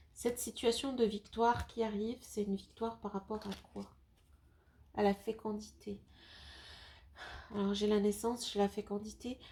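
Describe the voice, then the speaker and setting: A woman with a fairly high pitch and a somewhat breathy, dark, mellow tone speaks in a monotone, flat delivery at a fairly slow pace, with long, frequent pauses. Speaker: tarot card reader. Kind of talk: tarot reading video. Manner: hesitant, many fillers.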